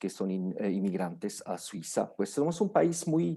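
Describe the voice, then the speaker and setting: In a very clean recording with a silent background, a man with a strong non-native accent and a dark, mellow tone talks at a fairly slow pace. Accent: strong foreign accent in Spanish. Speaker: lawyer. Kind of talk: lecture. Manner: halting, many fillers and restarts.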